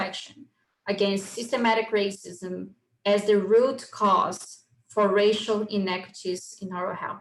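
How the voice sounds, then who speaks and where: Here is a woman with a plain, everyday voice at medium pitch. Her intonation is fairly even. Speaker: oral health researcher. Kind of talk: lecture. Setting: video call. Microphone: poor microphone.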